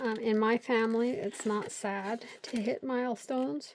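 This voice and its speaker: A woman speaks in a normal speaking voice. Her pitch sits fairly high, with fairly even intonation. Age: 50s. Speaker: craft video creator. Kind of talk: casual craft tutorial chat. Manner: chatty, rambling with fillers.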